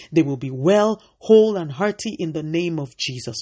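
Her voice fairly low, a woman talks at a moderate pace with lively intonation. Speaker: devotional host and prayer leader.

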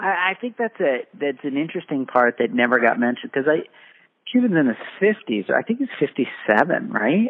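A man's fairly high voice moves at a fairly quick pace with very wide pitch swings. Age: 40s. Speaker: basketball podcast co-host. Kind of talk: casual chat.

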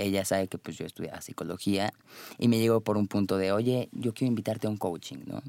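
A man's fairly low, plain, everyday voice at a fairly quick pace, with fairly even intonation and a dry, close sound with no echo. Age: 20s. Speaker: life coach. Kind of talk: interview.

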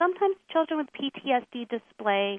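A woman with an American accent, very wide pitch swings, and a fairly slow pace. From rural Lancaster County, Pennsylvania, US. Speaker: equine therapy researcher and adjunct professor. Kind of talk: radio interview.

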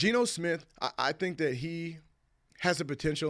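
On a very clean recording with a silent background, a man with an American accent and an ordinary speaking voice talks at a fairly quick pace with ordinary pitch variation. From US West Coast (California and Washington). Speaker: former pro football player. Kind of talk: casual interview chat.

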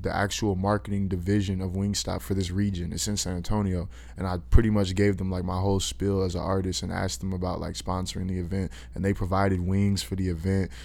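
A man with an American accent talks fairly quickly at a very deep, low pitch with ordinary pitch variation. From Austin, Texas (south side). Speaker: rapper. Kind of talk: casual interview chat.

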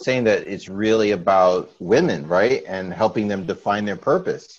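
Here is a plain, everyday voice from a man at fairly low pitch. He goes at a fairly quick pace with ordinary pitch variation. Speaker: radio host. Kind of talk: casual chat.

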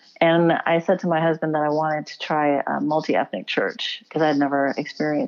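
An unremarkable speaking voice belongs to a woman with an American accent who talks at a fairly quick pace in a fairly low pitch. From Houston, Texas. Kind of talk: interview.

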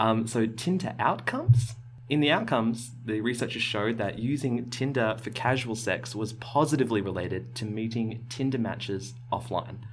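With vocal fry and a medium pitch, a man talks at a moderate pace with fairly even intonation and hardly any pauses, and the room echo is audible. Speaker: science podcast host. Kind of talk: casual chat. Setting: small recording space with carpeted walls.

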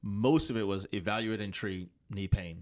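Against a silent background, this very clean recording captures a man. His fairly low voice moves at a moderate pace. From Tanzania, moved to the US as a child. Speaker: physical therapist. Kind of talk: casual interview. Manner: hesitant, many fillers.

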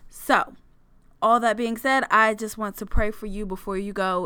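A woman with an American accent and a normal speaking voice, at a moderate pace with ordinary pitch variation, on a very clean recording with a silent background. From US Maryland, Prince George's County. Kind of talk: solo faith podcast with a closing fervent prayer. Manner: fervent, earnest, warm, prayerful; upbeat and chatty in intro.

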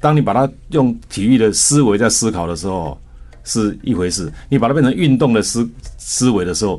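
With a Taiwanese accent, the speaker has a dark, mellow tone and lively intonation at a fairly quick pace. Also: man, medium pitch for a man. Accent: Taiwanese Mandarin. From Taiwan, Taichung. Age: 60s. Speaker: company chairman and former Olympic athlete. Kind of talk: radio interview.

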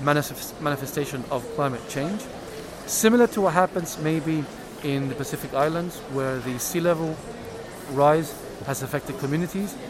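A man's fairly high voice with a Spanish accent, ordinary pitch variation, moderate pace and long, frequent pauses over noticeable background noise. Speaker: science minister official. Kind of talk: interview. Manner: hesitant with fillers.

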